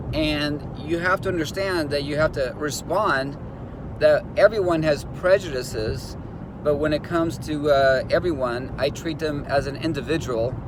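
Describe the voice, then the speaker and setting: Noticeable background noise sits behind a man with an American accent. His voice is fairly high in pitch with ordinary pitch variation. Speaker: instructor coaching law enforcement job applicants. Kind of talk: motivational video talk. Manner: fast.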